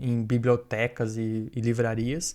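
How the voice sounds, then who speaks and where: Dark, mellow tone from a man at medium pitch, monotone and flat in intonation. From Brazil. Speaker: software developer and author. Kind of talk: podcast interview. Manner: casual, filler-heavy.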